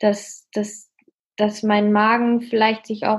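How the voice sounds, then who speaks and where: A woman at medium pitch and a very slow pace, in a very clean recording with a silent background. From Münsterland, northwestern Germany. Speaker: student and fitness trainer, eating disorder survivor. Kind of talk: interview, personal testimony.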